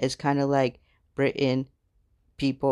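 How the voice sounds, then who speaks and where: Recorded with a dry, close sound and no echo, a man with an American accent speaks at medium pitch and a moderate pace. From United States. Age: 20s. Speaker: podcaster. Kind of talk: solo personal storytelling monologue. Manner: casual, conversational.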